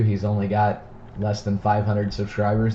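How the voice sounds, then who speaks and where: A man with an American accent, fairly low-pitched, talking at a fairly quick pace over noticeable background noise. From Texas, Dallas-Fort Worth area. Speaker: card breaker streamer. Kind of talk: live stream card break.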